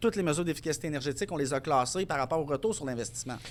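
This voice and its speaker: Speaking at a very fast pace, a man uses a fairly high pitch. The recording is very clean, with a silent background. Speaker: energy efficiency consultant and business owner. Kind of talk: podcast interview.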